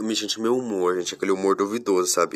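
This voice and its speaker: The man's fairly low voice stays monotone, with flat intonation. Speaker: podcast host. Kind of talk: casual solo monologue.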